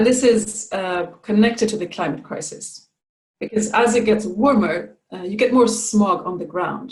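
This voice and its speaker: At a moderate pace, a somewhat breathy woman speaks with a Swedish accent in a fairly high pitch. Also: ordinary pitch variation. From Sweden. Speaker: climate and environment adviser. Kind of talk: presentation talk. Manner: hesitant with fillers.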